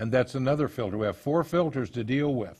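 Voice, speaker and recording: With a plain, everyday voice, a man talks at medium pitch with ordinary pitch variation. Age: 60s. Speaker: counselor on abuse recovery. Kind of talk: lecture.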